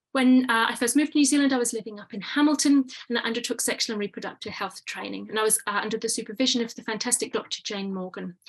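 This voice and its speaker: Using a British accent, a woman speaks at a very fast pace and fairly high pitch with hardly any pauses. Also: ordinary pitch variation. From UK. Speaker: pain medicine physician. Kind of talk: webinar presentation. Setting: online webinar.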